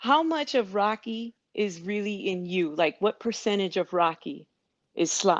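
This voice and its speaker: A woman with an unremarkable speaking voice talks at a fairly slow pace. Her fairly high pitch moves with lively intonation against a quiet background. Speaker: runner sharing weight loss story. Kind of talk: casual interview.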